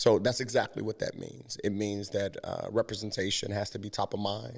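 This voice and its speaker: In an American accent, a man speaks at a moderate pace and a fairly low pitch on a very clean recording with a silent background. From US Midwest, Cincinnati, Ohio. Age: 30s. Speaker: creative entrepreneur and community organizer. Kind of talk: podcast interview.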